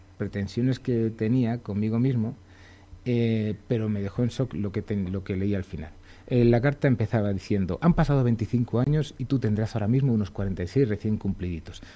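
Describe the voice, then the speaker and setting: A man speaks at a moderate pace with ordinary pitch variation. His tone is dark and mellow. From Segovia, Spain; Spain. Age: 40s. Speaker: illustrator; radio guest. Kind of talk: radio interview. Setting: radio studio. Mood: humorous, self-deprecating. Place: studio. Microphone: studio mic.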